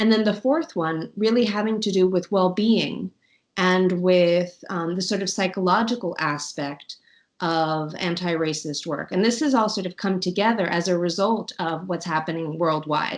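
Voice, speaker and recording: With an American accent, a woman at medium pitch talks at a moderate pace with ordinary pitch variation in an unremarkable speaking voice against a quiet background. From New York, USA. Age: 40s. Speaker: intercultural management association head. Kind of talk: interview answer.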